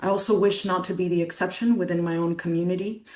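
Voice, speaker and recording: Noticeable background noise behind a woman speaking in a fairly low pitch. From Colombia (Bogotá region, Muisca). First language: Muisca. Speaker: lived-experience advocate speaker. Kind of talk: webinar talk. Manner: earnest, reflective.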